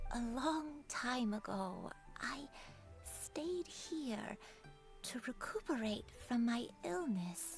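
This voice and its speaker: A woman uses a put-on character voice at a high pitch. She speaks very slowly over clear background music. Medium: game stream. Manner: soft, hesitant.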